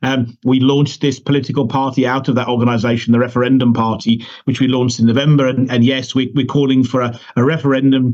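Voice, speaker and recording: Speaking at a very fast pace, a man with a British accent keeps a medium pitch and a monotone, flat intonation. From United Kingdom. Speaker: political party leader. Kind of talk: interview. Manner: halting, many repetitions.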